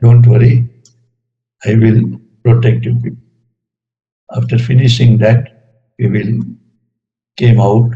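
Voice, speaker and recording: This man's voice is somewhat breathy, with a dark, mellow tone and medium pitch. He speaks very slowly in a monotone, flat delivery. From Gujarat, India. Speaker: retired engineer, spiritual devotee. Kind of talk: talk sharing personal spiritual experiences.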